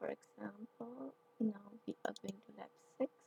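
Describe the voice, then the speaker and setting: Recorded with a dry, close sound and no echo, a woman talks at a fairly slow pace. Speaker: tech instructor. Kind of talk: tutorial.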